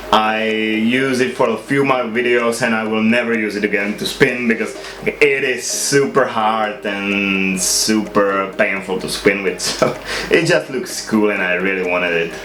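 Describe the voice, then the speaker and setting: With music in the background and audible room echo, a man with a non-native accent speaks with ordinary pitch variation. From Czech Republic. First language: not English. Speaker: YouTuber, lightsaber spinner. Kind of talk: casual show-and-tell video. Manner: hesitant, many uh fillers.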